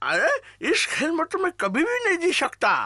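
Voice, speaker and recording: It's a put-on character voice at an extremely high pitch. The pace is moderate. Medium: fan dub. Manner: childish, excitable.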